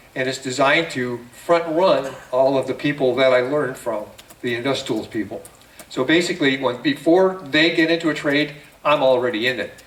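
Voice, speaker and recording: The speaker goes at a moderate pace with ordinary pitch variation. Noticeable background noise sits behind the voice. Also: man. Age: 70s. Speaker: trading seminar presenter. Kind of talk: seminar presentation. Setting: room with live audience. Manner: conversational, halting with fillers.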